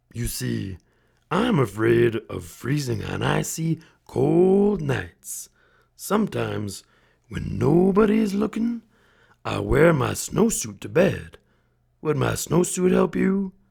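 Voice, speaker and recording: Growling in a put-on character voice, a man with a fairly high pitch talks at a fairly slow pace, leaving long, frequent pauses. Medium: read story.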